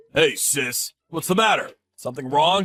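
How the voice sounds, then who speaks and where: A man puts on a cartoonish character voice with high pitch, lively intonation, and a moderate pace. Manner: blunt, forceful.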